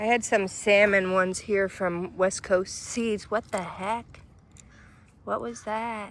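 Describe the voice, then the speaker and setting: Her pace is very slow. The woman's medium pitch carries ordinary pitch variation. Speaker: gardening vlogger. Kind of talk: casual garden tour. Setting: outdoors in front yard by busy street.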